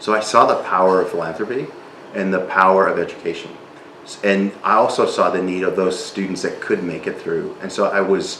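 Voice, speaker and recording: Audible room echo and noticeable background noise accompany a man speaking at a fairly quick pace. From South Texas / Mexican border (Reynosa). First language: Spanish. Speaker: non-profit leader. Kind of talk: interview.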